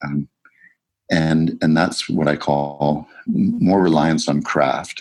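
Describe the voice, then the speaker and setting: Vocal fry in a Canadian accent. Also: man. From Canada, rural Saskatchewan. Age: 60s. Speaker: composer and music producer. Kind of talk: interview. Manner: halting, with many fillers and restarts.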